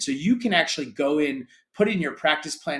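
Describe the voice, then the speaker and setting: This man has a plain, everyday voice, pitched fairly high, with an American accent. He talks at a fairly quick pace with lively intonation. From grew up in Europe, American. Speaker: sports tech company founder. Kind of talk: interview.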